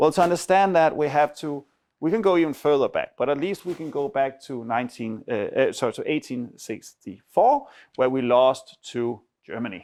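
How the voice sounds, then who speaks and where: A man with a Danish accent speaks at a moderate pace and a fairly high pitch. His intonation is lively, and the background is quiet. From Denmark. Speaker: academic researcher. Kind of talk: seminar lecture. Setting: university seminar room with audience. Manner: conversational, with frequent fillers.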